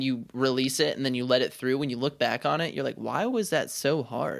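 An ordinary speaking voice from a man, fairly high in pitch, on a very clean recording with a silent background. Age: 20s. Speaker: podcast co-host. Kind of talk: casual chat.

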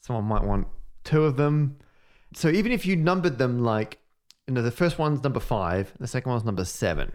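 Talking at a fairly quick pace, a man with a medium-pitched voice and an Australian accent uses lively intonation. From Western Australia, Perth. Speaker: podcast co-host, maths communicator. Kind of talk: casual chat. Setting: office.

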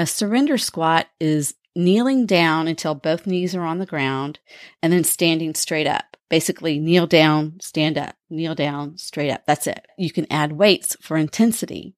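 Heard with a dry, close sound and no echo, a woman with an unremarkable speaking voice talks at a fairly slow pace, her fairly low pitch showing ordinary variation. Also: very clean recording, silent background. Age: 50s. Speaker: podcast host. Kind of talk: scripted narration.

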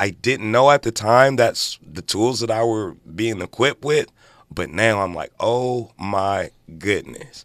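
A man uses a normal speaking voice at a fairly slow pace, with ordinary pitch variation. The sound is dry and close with no echo, on a very clean, silent background. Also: medium pitch for a man. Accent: American. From South Los Angeles, Crenshaw district. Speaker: advertising agency co-founder, formerly incarcerated. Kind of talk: radio interview. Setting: radio studio.

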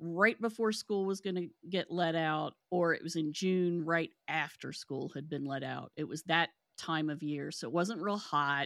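Recorded dry and close with no echo against a silent background on a very clean recording, a woman with an American accent has an unremarkable speaking voice, moving at a fairly slow pace with ordinary pitch variation. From West Virginia, Kanawha County. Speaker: paranormal podcast host. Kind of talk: casual interview chat.

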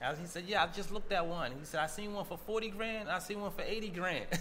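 With an American accent, a man speaks at a very fast pace in a high pitch over noticeable background noise. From Boston, Roxbury. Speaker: entrepreneur, cannabis advocate. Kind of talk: casual interview.

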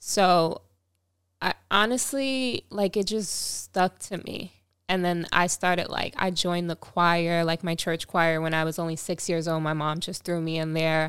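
The recording is very clean, with a silent background. A woman with a Long Island accent speaks fairly slowly at a fairly low pitch with ordinary variation. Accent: New York (Long Island). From Long Island, New York. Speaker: singer. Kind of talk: casual chat. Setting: studio. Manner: laughs often.

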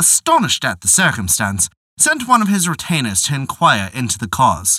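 A man with a medium-pitched voice, a bright, sharp tone and vocal fry speaks at a moderate pace with very wide pitch swings, in a dry, close recording with no echo. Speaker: storyteller narrator. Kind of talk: fairy-tale narration. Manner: measured, storyteller's pace; formal, old-fashioned storybook diction.

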